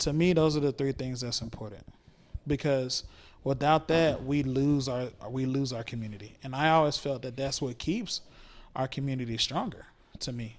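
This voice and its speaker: An ordinary speaking voice from a man with an American accent, medium pitch, ordinary pitch variation and moderate pace. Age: 20s. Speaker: podcast guest. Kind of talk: casual chat.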